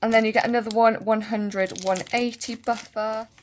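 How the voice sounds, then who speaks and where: A woman with a Bristol accent speaks at a moderate pace in a fairly high voice. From England, Bristol. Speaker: nail and beauty YouTuber. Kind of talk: product review tutorial. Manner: casual, chatty.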